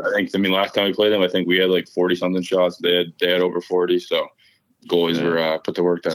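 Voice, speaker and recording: Very fast speech with monotone, flat intonation in an American accent. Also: man, very deep, low pitch for a man. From Boston, Massachusetts. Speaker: college hockey player. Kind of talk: interview.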